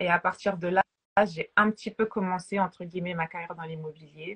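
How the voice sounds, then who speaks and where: A woman's somewhat breathy voice at a moderate pace, ordinary pitch variation, and a dry, close sound with no echo. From France, Paris. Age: 30s. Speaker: realtor. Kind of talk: interview.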